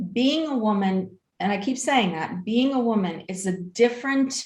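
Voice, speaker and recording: A woman's somewhat breathy voice moves fairly slowly, her intonation lively. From Iranian-born, raised in the United States from age five. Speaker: human rights attorney. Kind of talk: interview conversation. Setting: podcast.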